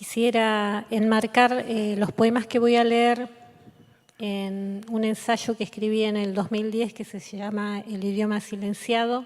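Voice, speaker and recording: Monotone and flat, a woman with a fairly high pitch speaks at a very slow pace. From Patagonia, Argentina (Comodoro Rivadavia). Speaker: poet. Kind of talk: reading aloud.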